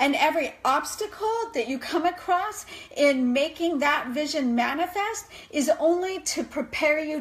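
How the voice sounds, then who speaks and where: Noticeable background noise sits behind a woman speaking at a fairly slow pace. Her tone is animated and her intonation lively. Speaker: life coach. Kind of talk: live video talk.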